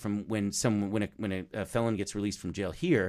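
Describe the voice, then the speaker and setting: Here is a man with an unremarkable speaking voice. He talks at a fairly quick pace with a fairly low pitch. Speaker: podcast creator and talent manager. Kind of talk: casual interview about his podcast.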